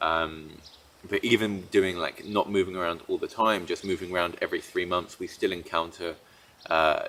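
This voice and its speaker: A man with a slight British accent, at a moderate pace. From Britain. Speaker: entrepreneur and digital nomad vlogger. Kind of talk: casual monologue. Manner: many fillers and restarts.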